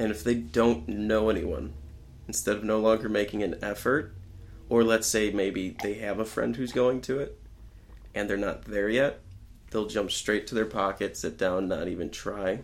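At a moderate pace, a man talks with vocal fry. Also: fairly low pitch for a man, ordinary pitch variation. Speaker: podcast guest. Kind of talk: casual chat.

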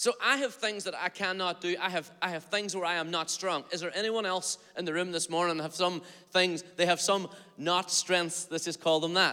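An animated delivery in a bright, sharp tone. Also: man, high pitch for a man. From Northern Ireland, Derry area. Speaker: pastor. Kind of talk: sermon. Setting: church. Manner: fast.

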